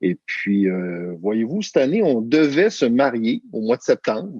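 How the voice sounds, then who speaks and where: A man in a Quebec accent, very slow and lively in intonation, dark and mellow in tone, with a dry, close sound and no echo. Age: 40s. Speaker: family coach. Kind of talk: podcast interview. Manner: hesitant, many fillers.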